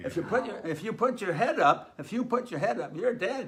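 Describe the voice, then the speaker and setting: A man with a Canadian accent speaks fairly quickly, his pitch swinging very widely, against noticeable background noise. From Saskatchewan, Canada. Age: 80s+. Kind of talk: interview answer. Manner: rambling, halting storytelling.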